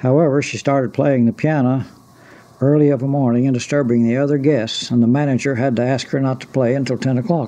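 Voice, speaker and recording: Talking at a very fast pace, a man with an Ozark accent keeps his intonation fairly even. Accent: Ozark Southern American. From Ozarks, Arkansas. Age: 60s. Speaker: retired postmaster. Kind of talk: oral history reminiscence. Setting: cassette recording. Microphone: old recording.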